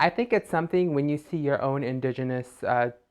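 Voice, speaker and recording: An American-accented woman speaks with a very deep, low pitch. Her tone is animated and her intonation lively. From Navajo Nation, Kayenta, Arizona. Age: 20s. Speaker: YouTuber. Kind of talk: casual vlog monologue.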